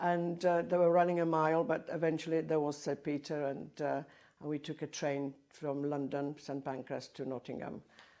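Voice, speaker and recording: A woman with a Polish accent speaks at a moderate pace in a very deep, low voice with a dark, mellow tone and monotone, flat intonation. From southern Poland, Bielsko-Biała. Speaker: choir conductor and Polish emigrant. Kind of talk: oral history interview. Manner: halting.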